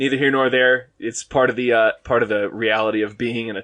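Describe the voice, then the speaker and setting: Here a man speaks with a slight Boston accent at medium pitch. His pace is fairly quick and his intonation monotone and flat. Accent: slight Boston accent on a couple of words. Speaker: podcast guest. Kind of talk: casual chat. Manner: hesitant, many fillers.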